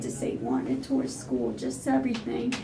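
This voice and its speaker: Noticeable background noise and audible room echo are present. Within them, a woman talks rather slowly. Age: 60s. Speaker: homeowner sharing her story. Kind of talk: interview.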